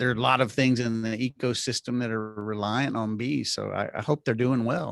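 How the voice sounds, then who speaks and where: The voice shows ordinary pitch variation, with a dry, close, echo-free sound and a quiet background. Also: man. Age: 50s. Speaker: health care and media executive. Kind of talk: casual interview chat. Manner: halting with many repetitions.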